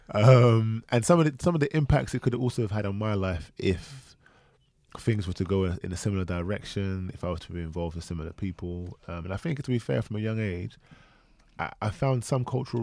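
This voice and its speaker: In a London accent, a man talks at a very fast pace. His pitch is fairly low, with ordinary pitch variation. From south London. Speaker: podcast co-host. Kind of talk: casual chat.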